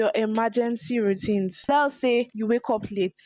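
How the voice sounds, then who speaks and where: With ordinary pitch variation, the woman's voice sits fairly high. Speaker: lifestyle YouTuber. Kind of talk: tutorial. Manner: fast.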